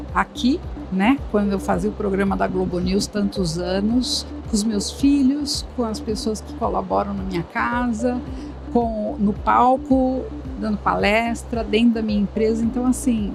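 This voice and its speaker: A woman talks fairly slowly. Background music accompanies her. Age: 60s. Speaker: career expert and company founder. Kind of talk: podcast interview. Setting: studio. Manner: animated.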